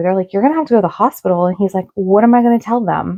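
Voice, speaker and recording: Dry and close with no echo, a woman's medium-pitched voice shows ordinary pitch variation in an ordinary speaking voice. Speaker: paranormal storyteller. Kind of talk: casual talk to camera.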